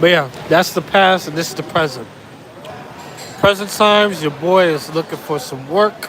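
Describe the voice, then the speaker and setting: A high-pitched man speaks at a moderate pace with ordinary pitch variation and long, frequent pauses, over noticeable background noise. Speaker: travel vlogger. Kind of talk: casual vlog monologue. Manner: repetitive, rambling.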